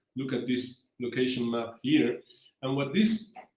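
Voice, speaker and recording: There is audible room echo. A man speaks at a very slow pace. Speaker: geoscience researcher. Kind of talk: lecture. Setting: online seminar. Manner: halting, many fillers.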